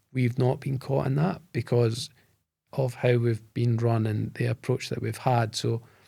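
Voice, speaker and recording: A man speaks at a fairly slow pace in a dark, mellow tone. His voice is somewhat breathy, with fairly even intonation. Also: medium pitch for a man. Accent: Scottish. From Scotland, Bo'ness (between Edinburgh and Glasgow). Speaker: tech company founder and CEO. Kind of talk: podcast interview.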